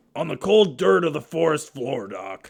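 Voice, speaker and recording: A man does a raspy, put-on character voice at a fairly high pitch. His pitch swings very widely. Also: moderate pace. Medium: audio drama. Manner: slow, dopey.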